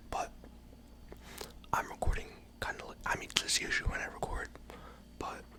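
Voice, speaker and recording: Someone whispers with long, frequent pauses over noticeable background noise. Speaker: college student, computer engineering major. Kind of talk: casual ramble to camera, ASMR. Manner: soft-spoken, whispery.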